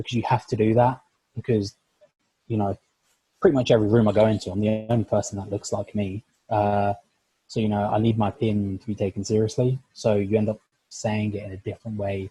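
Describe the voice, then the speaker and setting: A man with a fairly low, dark, mellow and somewhat breathy voice speaks at a very fast pace with long, frequent pauses and monotone, flat intonation, the sound dry and close with no echo. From North London. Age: young. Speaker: sport science lecturer. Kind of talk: podcast interview. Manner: many fillers (like, you know, uh).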